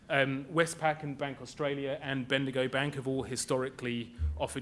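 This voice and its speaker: In a British accent, a man talks at a fairly quick pace with fairly even intonation. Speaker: panelist on green finance. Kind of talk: conference panel talk. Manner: halting.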